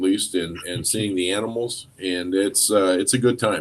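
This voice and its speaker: This man has an ordinary speaking voice, fairly low in pitch, with fairly even intonation. He talks at a moderate pace. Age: 60s. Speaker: co-host, school administrator. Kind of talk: casual chat.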